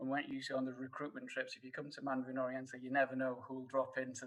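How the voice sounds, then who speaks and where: A man speaks at a very fast pace with a medium pitch. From northern England, Sheffield. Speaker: hotel HR director. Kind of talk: casual chat. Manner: halting, many fillers and repeats.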